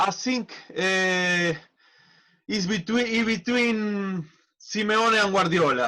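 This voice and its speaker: A man's raised, projected voice, high in pitch and bright and sharp in tone, at a very slow pace with very even loudness. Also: ordinary pitch variation. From Argentina. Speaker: football manager, former player. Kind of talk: casual interview. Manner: halting.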